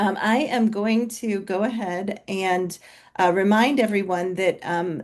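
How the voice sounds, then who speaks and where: Against a quiet background, a woman with an American accent talks at a very slow pace. Her medium pitch shows ordinary pitch variation. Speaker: physician and company co-founder. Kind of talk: webinar presentation. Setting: video call webinar. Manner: loud.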